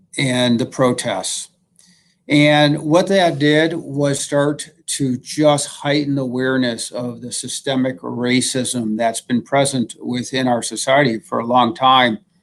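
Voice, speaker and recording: At a very slow pace, a man talks at a medium pitch with fairly even intonation. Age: 60s. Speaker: health system executive. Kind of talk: livestream panel discussion.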